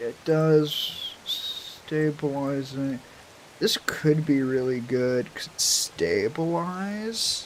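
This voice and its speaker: Mumbling in a put-on character voice at a middle pitch, the speaker moves at a very slow pace. Light background noise sits behind the voice. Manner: mumbling to self.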